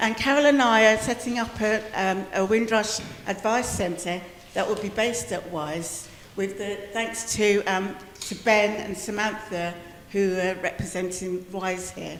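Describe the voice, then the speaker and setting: Amid noticeable background noise and audible room echo, a woman speaks at a fairly slow pace with fairly even intonation. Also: medium pitch for a woman. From Wales. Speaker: community advocate. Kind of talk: community meeting address.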